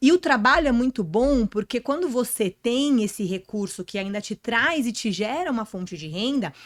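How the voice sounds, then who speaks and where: Barely pausing, a woman speaks in a fairly high voice with lively intonation, recorded very cleanly against a silent background with a dry, close sound and no echo. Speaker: podcast guest, personal image and career speaker. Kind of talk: podcast interview. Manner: fast.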